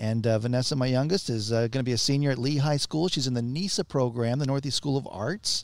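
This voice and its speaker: A man talks at a very fast pace with hardly any pauses, medium pitch, ordinary pitch variation and very even loudness. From Texas, San Antonio. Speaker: radio announcer. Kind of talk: radio interview. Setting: recording in a western outfitters store.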